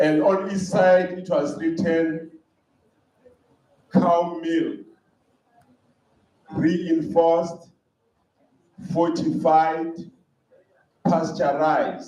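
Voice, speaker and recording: A man speaks at a very slow pace in a high voice, with long, frequent pauses. His intonation stays fairly even, and the room echo is audible. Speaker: conference speaker. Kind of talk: conference talk. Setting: hall with live audience.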